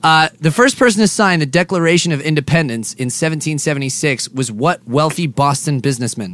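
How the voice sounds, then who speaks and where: In an ordinary speaking voice, a man talks at a moderate pace with a fairly high pitch and lively intonation. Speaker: podcast host. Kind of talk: casual comedic banter. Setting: bus lounge, recording.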